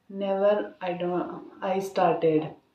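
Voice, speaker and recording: Audible room echo surrounds a woman speaking at a medium pitch. Her pace is very slow. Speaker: English learner vlogger. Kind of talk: casual monologue, speaking practice. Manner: halting, many filler sounds.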